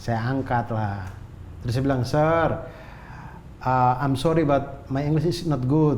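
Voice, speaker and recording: Amid audible room echo, a man with a medium pitch and ordinary pitch variation speaks at a very slow pace with long, frequent pauses. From North Sumatra, Indonesia. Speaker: comedian. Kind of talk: casual chat, storytelling.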